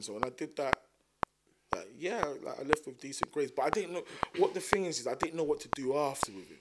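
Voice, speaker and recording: In a South London accent, a man talks at a very fast pace with a fairly high pitch. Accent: South London, Multicultural London English. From South London, Thamesmead. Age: 30s. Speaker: rapper. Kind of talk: casual chat.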